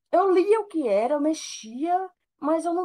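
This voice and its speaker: A woman's dark, mellow voice with very wide pitch swings at a fairly slow pace. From Brazil, Recife. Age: 20s. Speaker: computer networking student. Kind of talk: casual chat.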